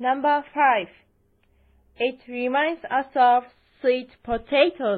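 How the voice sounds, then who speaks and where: A woman with a Japanese accent speaks at a very slow pace in a high voice. Her pitch moves in an ordinary way, and she leaves long, frequent pauses. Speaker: English-learning podcast host. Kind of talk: scripted English lesson. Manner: slow and clear.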